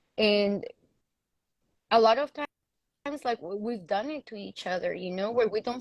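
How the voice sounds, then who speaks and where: A woman with a strong Mexican accent speaks at medium pitch and a moderate pace, the sound dry and close with no echo over a quiet background. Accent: thick Mexican Spanish. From Mexico. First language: Spanish. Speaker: panel guest. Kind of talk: casual chat.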